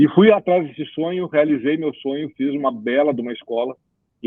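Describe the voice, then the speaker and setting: Someone with a southern Brazilian accent speaks at a fairly quick pace with lively intonation. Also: man. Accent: gaúcho. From Rio Grande do Sul, Brazil (Cruz Alta). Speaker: business executive and career mentor. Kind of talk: podcast interview. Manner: animated, conversational with many fillers.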